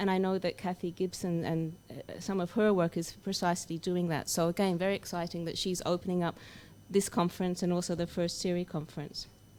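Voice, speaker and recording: Speaking at a moderate pace, a woman with an Australian accent holds a medium pitch. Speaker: academic researcher. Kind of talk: conference welcome speech.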